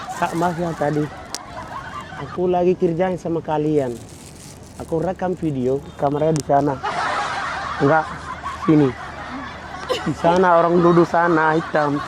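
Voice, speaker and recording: With a Somali accent, a man speaks at a moderate pace and a fairly high pitch in monotone, flat intonation, leaving long, frequent pauses amid noticeable background noise. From Somalia. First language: Somali (speaking Indonesian). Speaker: YouTube prankster. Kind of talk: prank vlog chat. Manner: halting.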